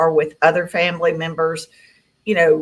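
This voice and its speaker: An ordinary speaking voice from a woman, fairly low in pitch, at a moderate pace. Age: 60s. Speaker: alien contactee. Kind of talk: interview.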